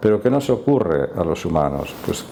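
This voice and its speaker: A man with a voice on the lower side talks at a middling pace while noise is clearly heard in the background. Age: 60s. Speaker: doctor giving talk on stress and neuropsychiatry. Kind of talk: public talk and discussion.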